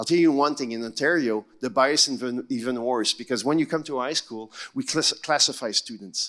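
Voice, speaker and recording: A moderate pace with ordinary pitch variation. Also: man. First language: not English. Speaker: education panelist. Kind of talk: panel discussion.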